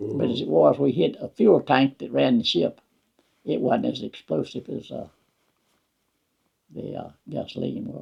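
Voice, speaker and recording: Speaking at a moderate pace with a Southern US accent, a man makes big swings in loudness and takes long, frequent pauses. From Wetumpka, Alabama. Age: 80s+. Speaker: war veteran. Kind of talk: interview answer.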